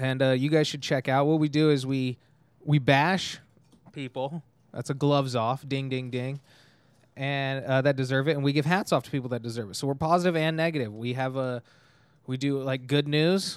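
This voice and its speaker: A man with an American accent and fairly high pitch, an ordinary speaking voice, fairly even intonation and a moderate pace, on a very clean recording with a silent background. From California, Tehachapi near Bakersfield. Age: 20s. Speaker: comedian and podcast host. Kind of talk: casual chat.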